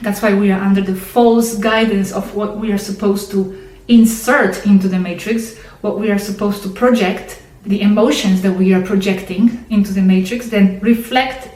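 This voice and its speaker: With a non-native accent, a woman at medium pitch speaks in a monotone, flat way at a moderate pace with hardly any pauses, amid audible room echo and noticeable background noise. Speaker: channel host, contactee video narrator. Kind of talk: monologue explanation to camera. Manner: halting, many repetitions and fillers.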